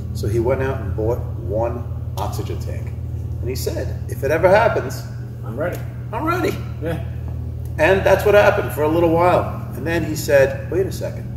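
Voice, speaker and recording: With noticeable background noise behind him, a man speaks with very wide pitch swings and long, frequent pauses. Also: moderate pace. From England, raised in US from 1977. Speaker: nonprofit founder. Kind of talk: interview. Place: hall.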